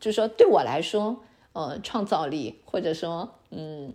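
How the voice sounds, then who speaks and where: A woman's normal speaking voice, fairly low in pitch, with lively intonation. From China. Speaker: online Chinese teacher and immigrant. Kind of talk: podcast interview.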